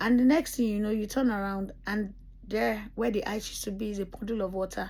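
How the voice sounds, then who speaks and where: A woman with a fairly high pitch talks at a fairly quick pace, somewhat breathy and dark and mellow in tone, her intonation monotone and flat. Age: 40s. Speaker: vlogger. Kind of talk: casual vlog monologue. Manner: casual, hesitant with fillers.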